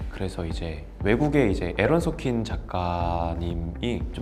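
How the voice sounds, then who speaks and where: With music in the background, a man speaks using very wide pitch swings. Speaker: actor. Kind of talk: interview answer.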